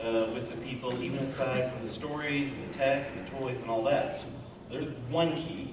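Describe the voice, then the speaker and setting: The recording carries audible room echo and noticeable background noise. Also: man. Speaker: psychology professor and author. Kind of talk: convention panel discussion. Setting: convention panel with audience. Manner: loud.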